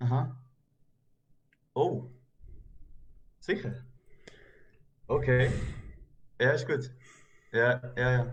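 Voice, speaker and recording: A man with a medium pitch and a somewhat breathy sound, at a very slow pace with long, frequent pauses, fairly even intonation, very even loudness and audible room echo. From German-speaking Switzerland. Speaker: YouTube reaction host. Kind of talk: casual chat.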